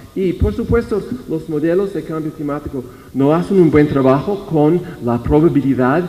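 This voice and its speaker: A man with an English accent speaks at a fairly slow pace with ordinary pitch variation. Noticeable background noise and audible room echo fill the recording. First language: English (speaking Spanish). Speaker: researcher presenting at a conference. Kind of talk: conference presentation. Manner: halting, many repetitions and false starts.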